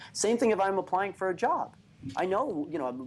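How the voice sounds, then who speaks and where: A man speaks at a fairly quick pace with a Brooklyn accent. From New York, Brooklyn. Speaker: author and business speaker. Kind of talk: interview.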